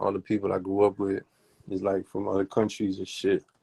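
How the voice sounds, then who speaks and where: The voice has a dark, mellow tone with a Miami accent. Its delivery is monotone and flat, and the sound is dry and close with no echo. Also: man. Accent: Miami dialect, sounds Southern. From Germany (Heidelberg). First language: German. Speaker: rapper. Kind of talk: casual interview.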